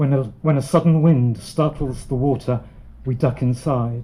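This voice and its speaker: His dark, mellow tone comes through somewhat breathy as the man speaks at a fairly slow pace with fairly even intonation. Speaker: poet. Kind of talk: poem performed. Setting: live audience.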